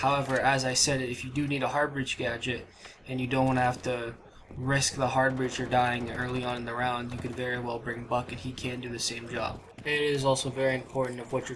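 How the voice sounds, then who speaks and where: This man speaks at a fairly quick pace in a medium pitch, with monotone, flat intonation. Audible room echo and noticeable background noise fill the recording. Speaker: gaming youtuber. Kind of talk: gaming tips commentary.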